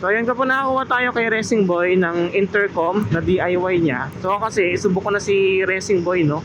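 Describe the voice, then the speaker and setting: This man speaks at a moderate pace in a high pitch. His pitch varies an ordinary amount, and there is noticeable background noise. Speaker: motovlogger and delivery rider. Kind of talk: casual vlog commentary while riding. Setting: outdoors on a motorcycle. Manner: loud, near shouting.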